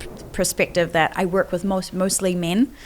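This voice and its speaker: Noticeable background noise sits behind the recording. A woman speaks in a fairly low pitch. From New Zealand. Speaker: business coach. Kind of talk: podcast interview. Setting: at a live event venue.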